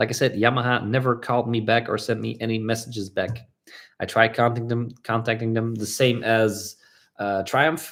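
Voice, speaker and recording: This man has a Flemish accent. The recording is very clean, with a silent background. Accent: Belgian (Flemish) English. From Belgium. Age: 30s. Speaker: motorcycle vlogger. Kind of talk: livestream Q&A chat. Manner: fast; animated, talkative.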